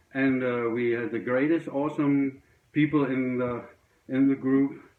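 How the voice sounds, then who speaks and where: A man talks at a moderate pace in a fairly high pitch. His intonation stays monotone and flat. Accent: German. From Germany. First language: German. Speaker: record collector. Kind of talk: casual video monologue. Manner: halting, many fillers.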